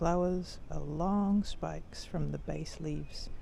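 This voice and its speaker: Someone soft-spoken talks in a New Zealand accent. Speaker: walking tour guide. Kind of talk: casual nature walk commentary.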